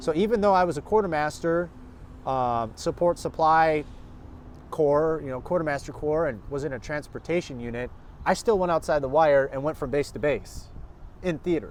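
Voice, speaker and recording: A man with an American accent at fairly high pitch, moderate pace and ordinary pitch variation. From Minnesota. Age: 30s. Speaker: army veteran. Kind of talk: casual chat. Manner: halting.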